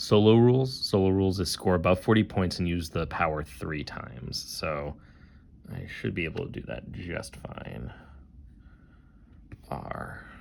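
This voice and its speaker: Speaking at a fairly slow pace, a man with a very deep, low pitch uses lively intonation broken by long, frequent pauses. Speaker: board game designer. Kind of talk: let's play commentary. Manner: casual, thinking aloud.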